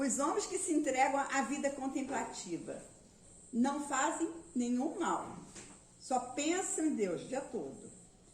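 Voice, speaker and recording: Amid audible room echo, a woman with a high pitch and lively intonation speaks at a very slow pace with long, frequent pauses. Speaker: spiritist lecturer. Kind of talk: lecture.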